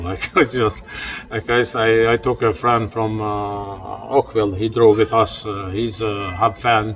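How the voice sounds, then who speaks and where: A man speaks with an Albanian accent at a fairly low pitch and a fairly slow pace. His intonation is monotone and flat, over noticeable background noise. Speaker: steelworker and hockey parent. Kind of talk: interview.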